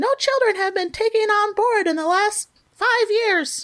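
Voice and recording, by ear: A woman's put-on character voice at an extremely high pitch and a moderate pace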